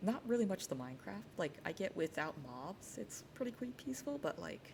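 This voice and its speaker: A woman with an American accent, very deep, low pitch, vocal fry, very wide pitch swings and a moderate pace. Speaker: streamer. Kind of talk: casual talk to camera.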